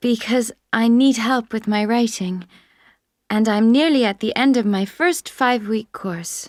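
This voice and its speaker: On a very clean recording with a silent background, a woman with a normal speaking voice talks at a fairly slow pace in a fairly high pitch with ordinary pitch variation. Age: 20s. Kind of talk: scripted listening exam dialogue.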